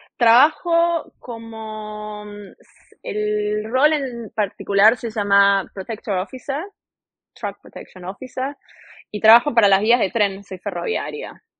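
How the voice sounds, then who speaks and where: A woman speaks very slowly. Her pitch sits fairly high and varies an ordinary amount. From Argentina, Buenos Aires. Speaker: railway worker, former chef. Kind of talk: interview.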